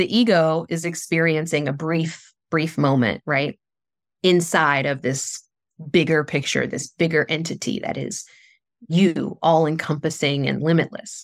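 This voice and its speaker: A woman's very deep, low voice with vocal fry and an American accent, fairly even intonation and a fairly slow pace, on a very clean recording with a silent background. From US South, southern West Virginia. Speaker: spiritual coach. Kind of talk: interview.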